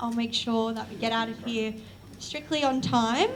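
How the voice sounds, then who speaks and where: In an Australian accent, a woman speaks at a fairly high pitch with ordinary pitch variation, over noticeable background noise and audible room echo. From Australia, Newcastle NSW. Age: 20s. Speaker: university student, event speaker. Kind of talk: opening speech at public lecture. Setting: lecture event with live audience.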